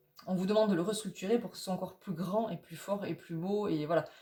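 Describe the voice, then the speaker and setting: A somewhat breathy woman's voice, medium in pitch with ordinary pitch variation. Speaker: tarot reader. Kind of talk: tarot reading guidance video. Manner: fast; halting, many fillers.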